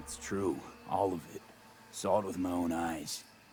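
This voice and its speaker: Putting on a character voice, a man talks at a moderate pace in a raspy, very deep, low pitch, with clear background noise. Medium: video game. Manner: blunt, wry.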